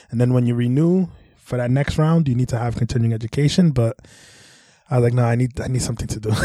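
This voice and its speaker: In a New York accent, a man rattles along at a very fast pace and medium pitch. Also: ordinary pitch variation. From New York City (Brooklyn, Bronx). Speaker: massage therapist. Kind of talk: casual chat.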